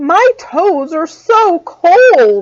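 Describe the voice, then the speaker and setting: A woman's put-on character voice, extremely high-pitched, with very wide pitch swings. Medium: read story.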